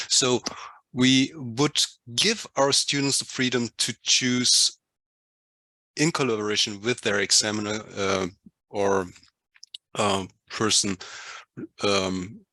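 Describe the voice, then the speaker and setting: A man with a non-native accent speaks at a very slow pace, with long, frequent pauses and very even loudness. His tone is bright and sharp, with ordinary pitch variation and a dry, close sound with no echo. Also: medium pitch for a man. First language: not English. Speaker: workshop participant. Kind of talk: group discussion presentation. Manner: halting.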